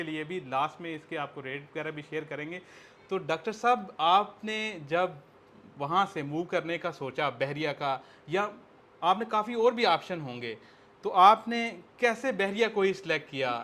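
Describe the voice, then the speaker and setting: Bright and sharp in tone, a man speaks with a high pitch and ordinary pitch variation. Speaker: property tour host, interviewer. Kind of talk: interview.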